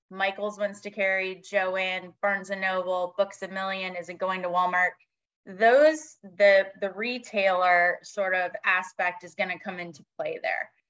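In an ordinary speaking voice, the delivery is fairly slow with fairly even intonation and big swings in loudness. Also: woman. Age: 40s. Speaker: magazine newsstand executive. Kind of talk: casual interview.

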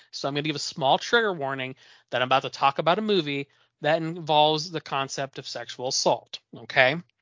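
A man speaks fairly quickly, in an ordinary speaking voice. His pitch is fairly high, with ordinary variation. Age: 20s. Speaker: horror podcast co-host. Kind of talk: casual chat.

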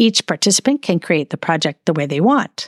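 In a dry, close sound with no echo, a woman's pitch swings very widely. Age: 50s. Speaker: podcast host. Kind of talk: solo podcast monologue.

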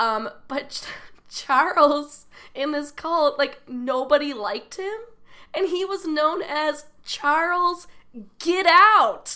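Raised, projected high female voice with an American accent, a bright, sharp tone, lively intonation and a very slow pace. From US Midwest, southwest suburbs of Chicago. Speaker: comedian. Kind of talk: casual chat.

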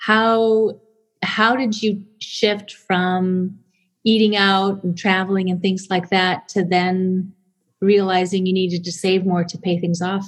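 In a very clean recording with a silent background, a somewhat breathy voice speaks at a very slow pace in a monotone, flat intonation. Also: woman, medium pitch for a woman. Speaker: podcast host and speech-language pathologist. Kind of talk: interview conversation.

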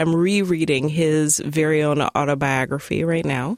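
An unremarkable speaking voice from a woman, fairly low in pitch, at a fairly slow pace with ordinary pitch variation, in a dry, close sound with no echo. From US Midwest (Detroit, Michigan; born in Tulsa, Oklahoma). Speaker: poet and writer. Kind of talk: interview; reading aloud her own writing.

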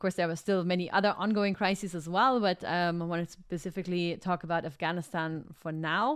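Fairly low-pitched woman with an unremarkable speaking voice, fairly even intonation and a moderate pace on a very clean recording with a silent background. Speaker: podcast host. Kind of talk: casual interview. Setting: live video stream.

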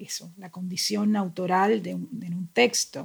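A woman speaks at a moderate pace, somewhat breathy and fairly low in pitch. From Colombia, Cartagena. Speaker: novelist. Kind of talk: casual chat.

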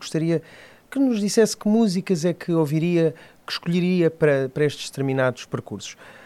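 Lively intonation and a fairly quick pace mark this man's delivery, an unremarkable speaking voice. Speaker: podcast host. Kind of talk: interview.

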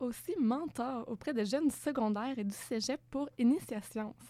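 The woman's tone is dark and mellow, with a fairly high pitch. Her pitch varies in an ordinary way. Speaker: podcast interviewer. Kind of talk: interview. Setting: studio.

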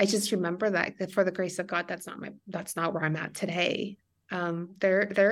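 A woman speaks at a medium pitch with fairly even intonation. Vocal fry runs through her voice. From Mexico. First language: Spanish. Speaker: financial planner and coach. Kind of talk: interview. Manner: halting.

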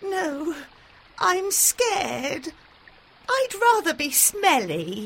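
A woman does a put-on character voice, shrill and at an extremely high pitch. She speaks at a very slow pace with long, frequent pauses. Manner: sad, nervous.

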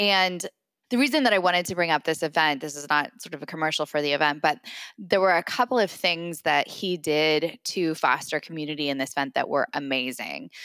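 A woman speaks with a very deep, low pitch and a bright, sharp tone, her pitch varying in an ordinary way, in a dry, close sound with no echo on a very clean recording against a silent background. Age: 40s. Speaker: podcast co-host, startup founder. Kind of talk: casual chat.

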